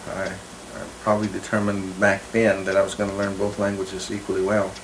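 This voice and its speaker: A man talks at a fairly quick pace and a fairly low pitch, in a monotone, flat intonation. Noticeable background noise and audible room echo are present. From Oklahoma, Cherokee community. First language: Cherokee. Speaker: linguist. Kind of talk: interview. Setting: on location. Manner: halting, many fillers.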